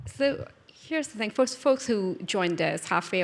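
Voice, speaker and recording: At a moderate speed, a woman talks with a non-native accent. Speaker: event host. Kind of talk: interview conversation.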